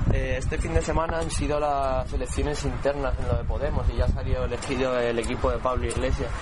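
A man talks very fast with hardly any pauses. Noticeable background noise and audible room echo are present. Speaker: radio course student reporter. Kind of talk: cultural commentary; street interview report.

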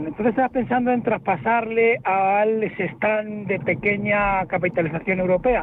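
Noticeable background noise runs under a man speaking in a high voice. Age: 60s. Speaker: caller, retail investor. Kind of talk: radio call-in question.

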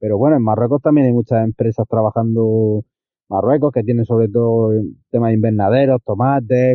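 A man speaks with a normal speaking voice at a medium pitch and moderate pace. His loudness is very even and his intonation fairly even. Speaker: listener sending voice message. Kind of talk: recorded voice message.

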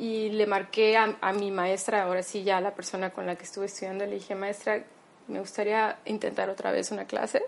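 A woman at medium pitch, fairly quick in pace, with monotone, flat intonation. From Mexico, Tabasco. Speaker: opera singer. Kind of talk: interview.

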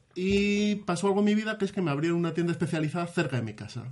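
This is a man with a high-pitched voice. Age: 30s. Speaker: gamer and podcast patron. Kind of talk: casual chat.

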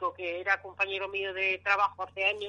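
This bright, sharp voice moves at a moderate pace. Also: woman. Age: 60s. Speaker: UFO sighting witness. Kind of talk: phone interview, testimony.

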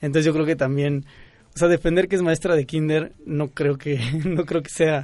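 An ordinary speaking voice moves at a moderate pace with fairly even intonation. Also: man, fairly high pitch for a man. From Mexico, Querétaro. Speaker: pedagogy student. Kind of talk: casual chat. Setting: studio.

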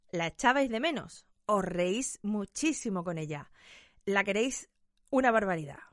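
Against a quiet background, a woman talks at a fairly slow pace with very wide pitch swings. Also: medium pitch for a woman. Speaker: podcast host. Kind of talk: casual chat.

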